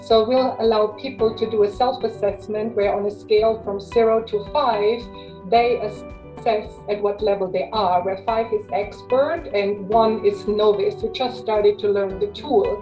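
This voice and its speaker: A woman with a fairly high pitch speaks at a fairly slow pace. She leaves hardly any pauses, and music plays in the background. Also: ordinary pitch variation. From Germany. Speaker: company president. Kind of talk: interview answer.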